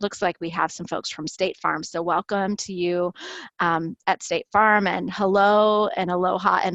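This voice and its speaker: Against a quiet background, a woman with an unremarkable speaking voice talks at a moderate pace with fairly even intonation, in a dry, close sound with no echo. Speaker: webinar host. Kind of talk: webinar introduction. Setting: online webinar.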